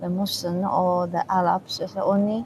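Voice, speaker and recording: In a Chinese accent, a woman speaks at a medium pitch with monotone, flat intonation. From China. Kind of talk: interview testimony. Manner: halting.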